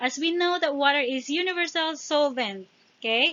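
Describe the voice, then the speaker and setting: The woman has a non-native accent and a high pitch. She talks at a moderate pace with lively intonation. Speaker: exam prep tutor. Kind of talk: tutorial. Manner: halting, with fillers and restarts.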